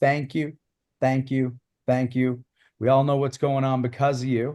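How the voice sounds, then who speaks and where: Against a quiet background, a normal speaking voice moves at a fairly quick pace. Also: man. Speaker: martial arts podcast host. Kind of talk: casual chat.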